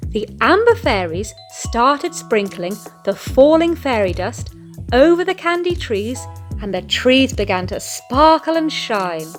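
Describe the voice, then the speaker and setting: A woman with a British accent at a fairly slow pace, music playing in the background. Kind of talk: children's picture book read-aloud.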